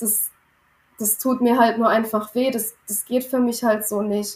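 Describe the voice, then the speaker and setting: A woman speaks at a fairly high pitch with flat, monotone intonation. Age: 20s. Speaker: former coaching client, early childhood educator. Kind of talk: personal testimony in interview.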